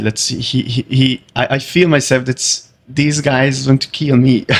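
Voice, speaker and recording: Speaking with a Hungarian accent at a moderate pace, a man keeps a monotone, flat intonation. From Hungary. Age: 20s. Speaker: karate fighter. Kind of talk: interview. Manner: halting.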